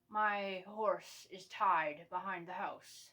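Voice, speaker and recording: In a put-on character voice, a woman of medium pitch sounds gravelly and raspy, with monotone, flat intonation at a very slow pace. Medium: read story.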